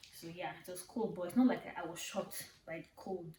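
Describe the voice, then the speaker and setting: Somewhat breathy woman's voice of medium pitch, at a fairly quick pace. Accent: Nigerian. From Nigeria. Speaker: vlogger. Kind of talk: casual vlog talk. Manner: animated.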